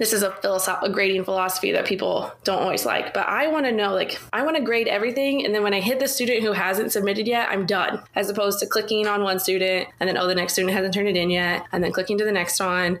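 A woman speaks at a very fast pace and medium pitch, with hardly any pauses and very even loudness. Her pitch varies in an ordinary way, and noticeable background noise runs underneath. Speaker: education professor. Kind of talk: casual chat.

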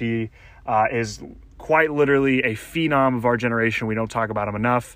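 The intonation here is fairly even. It comes in an unremarkable speaking voice. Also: man. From US South, Louisiana. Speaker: podcast host. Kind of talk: casual monologue update.

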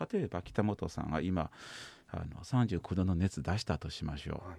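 A man with a Kansai accent speaks at a moderate pace. His voice is very deep and low, with a dark, mellow tone. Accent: Kansai dialect Japanese. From China, Shanghai. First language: Chinese (speaking Japanese). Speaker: psychosomatic medicine doctor. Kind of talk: radio interview.

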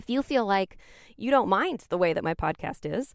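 Captured in a very clean recording with a silent background and a dry, close sound with no echo, a woman with an ordinary speaking voice talks at a moderate pace, her fairly high pitch carried by lively intonation. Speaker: podcast host. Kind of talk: podcast monologue.

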